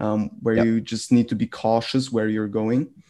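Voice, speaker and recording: The speaker has a German accent and a moderate pace. The intonation stays monotone and flat. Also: man. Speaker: podcast host. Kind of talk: interview. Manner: halting.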